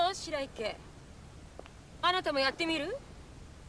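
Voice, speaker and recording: Extremely high in pitch, a woman's voice carries ordinary pitch variation, with light background noise and a dry sound that has no echo. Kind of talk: scripted drama dialogue. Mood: calm, soothing, gently teasing. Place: waterside.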